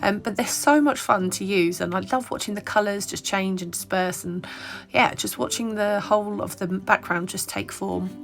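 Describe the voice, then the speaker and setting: With noticeable background noise in the clip, a woman speaks moderately fast at a medium pitch and with ordinary pitch variation. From Ireland. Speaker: papercraft design team member. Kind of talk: tutorial voiceover. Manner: casual, hesitant with fillers.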